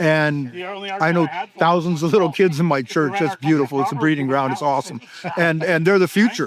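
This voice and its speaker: A man talks fairly quickly at a fairly high pitch, his pitch varying in an ordinary way, with noticeable noise in the background. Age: 60s. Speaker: independence supporter. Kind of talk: casual street interview chat. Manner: animated, heated.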